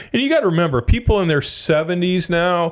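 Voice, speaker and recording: He speaks fairly quickly, with ordinary pitch variation. This man has a plain, everyday voice. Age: 60s. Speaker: financial advisor. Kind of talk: casual podcast chat. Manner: conversational, with false starts.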